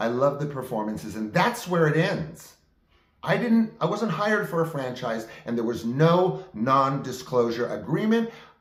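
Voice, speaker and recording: A man's somewhat breathy voice, fairly high in pitch, with very wide pitch swings at a moderate pace. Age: 60s. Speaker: actor and video diarist. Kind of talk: personal monologue. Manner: animated.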